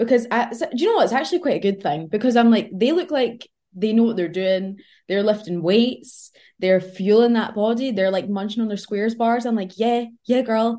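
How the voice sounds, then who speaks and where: Against a quiet background, a woman with a Scottish accent and a dark, mellow tone speaks at a fairly quick pace with ordinary pitch variation. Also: fairly high pitch for a woman. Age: 20s. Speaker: university student and fitness influencer. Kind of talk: casual chat. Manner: animated.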